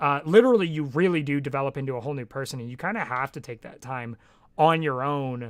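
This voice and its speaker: A man talks at a fairly quick pace in a normal speaking voice, with medium pitch and ordinary pitch variation. The recording is very clean, with a silent background. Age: 20s. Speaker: streamer. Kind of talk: casual chat. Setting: live stream.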